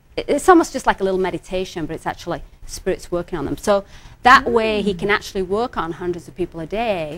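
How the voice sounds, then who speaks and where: A woman with a medium pitch talks at a very fast pace, her loudness swinging widely. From England. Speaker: psychic healer. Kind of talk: TV interview.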